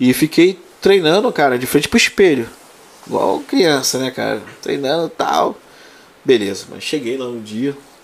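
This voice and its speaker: Over noticeable background noise, a man talks at a fairly slow pace in a fairly high pitch. His intonation is lively, and his loudness swings widely. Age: 30s. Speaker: prison officer and exam-prep teacher. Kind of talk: casual chat.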